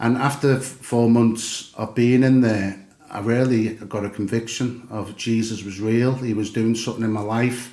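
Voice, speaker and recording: With a Liverpool accent, a man of medium pitch talks at a moderate pace in a monotone, flat intonation, hardly pausing, amid noticeable background noise and audible room echo. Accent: Liverpool (Scouse). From England, Liverpool. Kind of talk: podcast interview, personal testimony. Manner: hesitant, many fillers.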